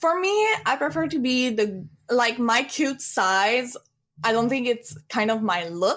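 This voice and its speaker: Recorded very cleanly against a silent background, a woman with a French accent speaks fairly slowly at a fairly high pitch, her pitch swinging very widely while her loudness stays very even. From France. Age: 20s. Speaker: streamer. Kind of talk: casual chat.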